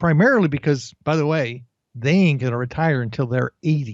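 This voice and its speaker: A man speaks at a fairly high pitch with ordinary pitch variation in a plain, everyday voice. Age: 50s. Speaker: career coach. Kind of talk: interview.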